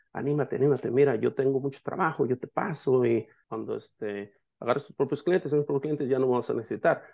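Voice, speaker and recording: A man with a Mexican accent has a fairly high pitch and a dark, mellow tone. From Mexico, Jalisco. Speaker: painting business owner and coach. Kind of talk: casual interview.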